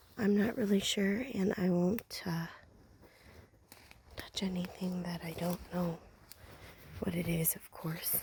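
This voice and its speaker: Soft-spoken and medium in pitch, a woman talks at a fairly slow pace with fairly even intonation and long, frequent pauses. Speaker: ASMR creator. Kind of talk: ASMR walk vlog. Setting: outdoors in woods. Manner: whispering at times.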